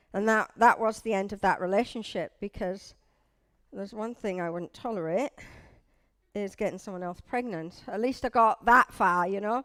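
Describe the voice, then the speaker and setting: A woman speaks at a moderate pace with a northeast English accent, her pitch medium and its variation ordinary. The sound is dry and close with no echo, the recording very clean over a silent background, and her loudness swings widely. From northeast England. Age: 50s. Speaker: church leader's wife giving testimony. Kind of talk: testimony. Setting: church service with audience, on a microphone. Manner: casual, conversational.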